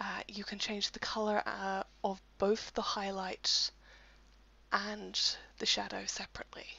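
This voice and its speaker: Someone is whispering. The pace is fairly slow. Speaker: software tutorial presenter. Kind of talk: screen-recorded software tutorial voice-over. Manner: casual, lightly humorous.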